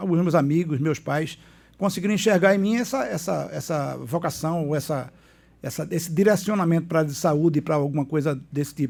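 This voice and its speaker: A man talks in a fairly high pitch with lively intonation. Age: 60s. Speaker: doctor and former city councillor. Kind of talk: casual interview. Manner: halting, repeats words.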